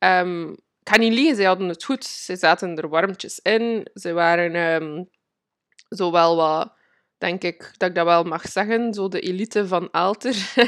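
A woman with a Flemish accent speaks at a fairly slow pace and medium pitch with ordinary pitch variation, in a dry, close sound with no echo over a quiet background. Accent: Flemish Dutch. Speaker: podcast host and manifestation coach. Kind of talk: personal storytelling monologue. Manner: halting, many fillers; frequent laughter.

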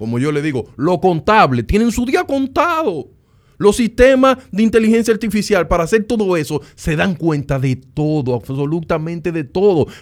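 In a Dominican accent, the speaker sounds animated, with very wide pitch swings. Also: man, high pitch for a man, moderate pace. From Dominican Republic, Sosúa. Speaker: data scientist. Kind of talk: casual interview.

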